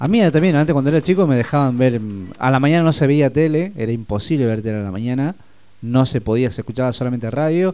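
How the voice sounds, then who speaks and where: His intonation rises and falls in a lively way. The man's tone is dark and mellow. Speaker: radio host. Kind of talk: casual chat.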